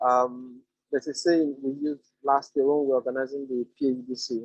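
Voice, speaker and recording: A man talks at a medium pitch in a flat, monotone delivery. The sound is dry and close, with no echo. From Nigeria. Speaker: debate trainer giving a talk. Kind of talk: lecture. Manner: hesitant fillers.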